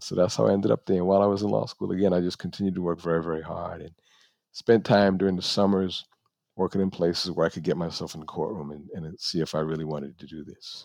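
Someone with an American accent talks very fast, with ordinary pitch variation and big swings in loudness. The background is quiet. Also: man, very deep, low pitch for a man. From New York (the Bronx). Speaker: lawyer. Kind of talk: interview. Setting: video call. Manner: soft-spoken.

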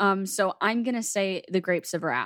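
Heard on a very clean recording with a silent background, a plain, everyday voice moves with ordinary pitch variation. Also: woman. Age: 20s. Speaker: podcast co-host. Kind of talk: casual chat.

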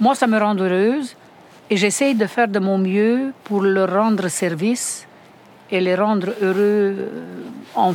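Very slow speech from a woman, medium in pitch, with ordinary pitch variation. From Romania. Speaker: home care worker. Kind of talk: interview.

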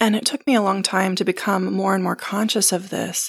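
Dry and close with no echo, a woman's voice comes through at a medium pitch. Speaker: podcast host. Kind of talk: solo personal reflection. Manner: laughs often.

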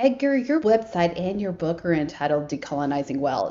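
A woman's medium-pitched voice at a fairly quick pace, with noticeable background noise. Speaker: co-host. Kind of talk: interview.

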